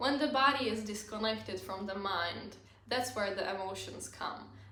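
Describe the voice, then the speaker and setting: A woman with a non-native accent talks over noticeable background noise. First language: not English. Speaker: self-help content creator. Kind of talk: casual talk to camera.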